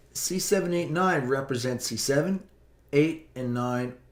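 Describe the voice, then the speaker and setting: A man's normal speaking voice at a fairly high pitch. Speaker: physics teacher. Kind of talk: tutorial.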